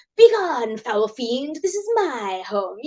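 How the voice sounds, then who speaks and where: A woman's high-pitched, put-on character voice with a dramatic tone. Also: fairly slow pace. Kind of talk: archaic, theatrical. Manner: haughty, dramatic.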